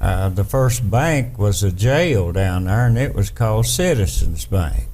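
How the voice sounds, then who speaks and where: In an Appalachian accent, the speaker talks at a very slow pace with very even loudness, amid audible room echo and noticeable background noise. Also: man. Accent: Appalachian Southern US. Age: 70s. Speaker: interviewee, family elder. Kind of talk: casual reminiscing interview.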